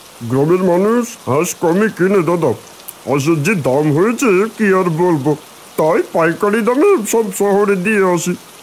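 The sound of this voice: A cartoonish character voice talks at a middle pitch and moderate pace. Background noise is clearly heard.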